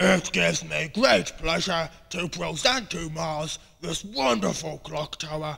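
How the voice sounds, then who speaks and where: A raspy, cartoonish character voice at a fairly slow pace. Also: man, fairly high pitch for a man. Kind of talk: comic overacting. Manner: pompous, then hysterical.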